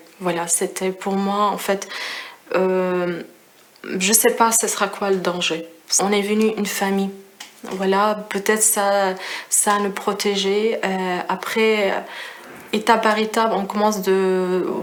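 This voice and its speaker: A woman speaks at a very slow pace with long, frequent pauses and monotone, flat intonation. Background noise is noticeable. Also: medium pitch for a woman. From Syria. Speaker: refugee, risk prevention engineer. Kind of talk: testimony. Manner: halting, many hesitations.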